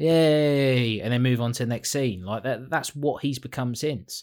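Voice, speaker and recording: Here a man talks at a medium pitch and moderate pace. It is an unremarkable speaking voice. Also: very clean recording, silent background. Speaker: podcast co-host. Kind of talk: casual chat.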